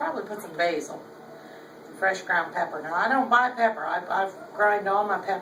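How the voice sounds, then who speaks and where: A woman with a slight Southern US accent speaks at a medium pitch and moderate pace with lively intonation, amid noticeable background noise and audible room echo. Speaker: home cook, cooking video host. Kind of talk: casual cooking tutorial. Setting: home kitchen. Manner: chatty, casual.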